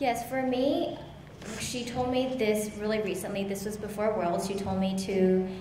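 A woman is speaking in a room with audible echo. There is light background noise. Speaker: guest. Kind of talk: interview answer. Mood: warm, grateful. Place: hall. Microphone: handheld.

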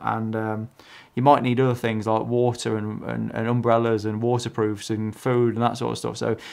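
Delivered at a moderate pace over a quiet background, the speech has monotone, flat intonation. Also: man. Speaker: photography vlogger. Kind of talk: casual vlog chat. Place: home room.

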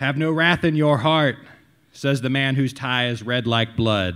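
A man is speaking. His pace is fairly slow. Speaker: slam poet. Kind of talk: performed spoken-word poem, satirical and pointed. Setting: stage with audience at a live tavern show. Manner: animated, theatrical, sardonic; rhythmic, declamatory delivery.

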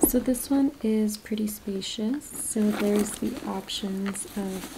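Over loud background noise, a soft-spoken woman talks in a gentle tone with ordinary pitch variation. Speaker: shop seller. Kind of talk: product showcase talk. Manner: soft-spoken, gentle ASMR voice. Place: shop.

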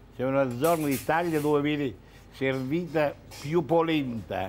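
A man with a Mantuan accent talks at a very slow pace in a fairly high pitch, with light background noise. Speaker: chef. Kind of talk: cooking demonstration. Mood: warm, showman-like. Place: kitchen.

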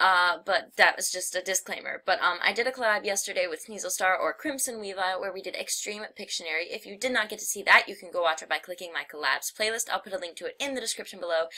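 A woman of medium pitch speaks at a very fast pace with ordinary pitch variation. Her loudness takes big swings, and noticeable background noise runs underneath. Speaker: gaming youtuber. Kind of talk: casual chat. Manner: hesitant, filler words.

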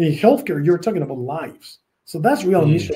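A man with a Spanish accent speaks at a fairly quick pace in a high, dark, mellow voice with lively intonation. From Spain. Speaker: tech company president. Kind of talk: interview. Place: office.

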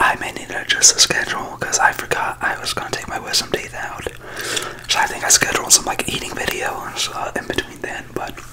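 A man whispering at a fairly quick pace. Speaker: ASMR creator. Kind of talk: ASMR ramble. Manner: whispered.

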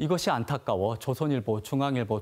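Intonation is lively and the talking runs at a fairly quick pace. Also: man. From South Korea, Gwangju; South Korea. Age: 30s. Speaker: election candidate, physician; election candidate. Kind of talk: campaign broadcast speech. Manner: formal. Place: studio.

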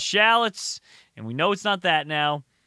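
With loud background noise around him, a man uses a raised, projected voice, and the sound is dry with no echo. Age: 20s. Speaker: gaming YouTuber. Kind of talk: casual gameplay commentary. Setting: home recording with webcam. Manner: animated. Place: home room. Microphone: studio mic.

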